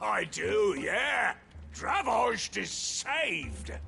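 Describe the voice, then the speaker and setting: Over clear background noise, a raspy put-on character voice drags along at a very slow pace. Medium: video game.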